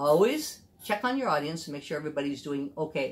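The speaker talks at a fairly quick pace, with a somewhat breathy voice and lively intonation. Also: woman. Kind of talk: tutorial. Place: home room. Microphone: camera far.

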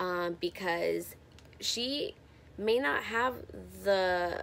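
This woman speaks with an American accent. Her pitch shows ordinary variation. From San Francisco, US West Coast; California. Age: 20s. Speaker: YouTuber. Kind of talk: casual vlog Q&A. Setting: friend's house. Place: home room. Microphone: phone near.

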